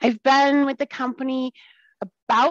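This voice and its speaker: The speaker has an American accent and a moderate pace. The sound is dry and close, with no echo. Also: woman. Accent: Wisconsin accent, at times. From Wisconsin. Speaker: software sales relationship manager. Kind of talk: casual interview. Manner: upbeat, smiling.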